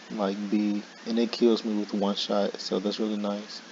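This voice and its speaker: A man's fairly low voice stays monotone and flat, delivered at a moderate pace. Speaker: gaming YouTuber. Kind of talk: casual gaming commentary.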